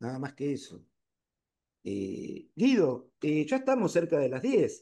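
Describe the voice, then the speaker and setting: Vocal fry runs through a man's dark, mellow tone. He speaks at a very slow pace with very wide pitch swings. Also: fairly high pitch for a man. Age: 60s. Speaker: painter. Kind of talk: lecture discussion.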